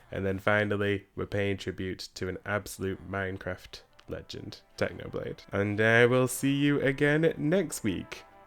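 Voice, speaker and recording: Fairly slow delivery with hardly any pauses and ordinary pitch variation, music in the background. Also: man, fairly low pitch for a man. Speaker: gaming video creator. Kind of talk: let's play commentary. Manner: casual, chatty.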